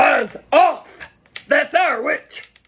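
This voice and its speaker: In a put-on character voice, a man speaks at an extremely high pitch, sounding croaky, growling, and shrill. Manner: rude, dismissive.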